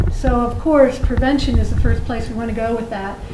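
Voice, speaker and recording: Noise is clearly audible, and the room echoes. Through it comes a woman's high voice. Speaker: dentist and dental program director. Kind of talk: conference talk. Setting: conference room with audience. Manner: hesitant, many fillers.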